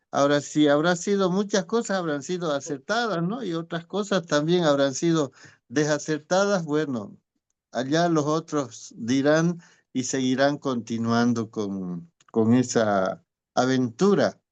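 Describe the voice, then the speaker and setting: Delivered at a fairly slow pace, a normal speaking voice carries lively intonation over a quiet background. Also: man, fairly high pitch for a man. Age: 60s. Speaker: teacher. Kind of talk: testimony.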